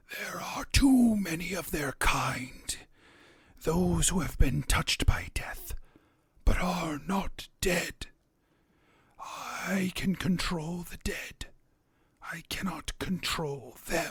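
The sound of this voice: Very slow, raspy whispering in a put-on character voice, broken by long, frequent pauses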